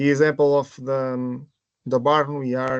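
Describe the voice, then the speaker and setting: Over a quiet background, a man speaks in a monotone, flat way at a fairly high pitch. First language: Portuguese. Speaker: project presenter. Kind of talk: webinar presentation. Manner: halting.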